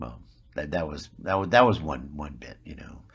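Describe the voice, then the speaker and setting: A man with an American accent and vocal fry speaks at a moderate pace. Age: 60s. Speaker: actor. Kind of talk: interview. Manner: halting, repeats words.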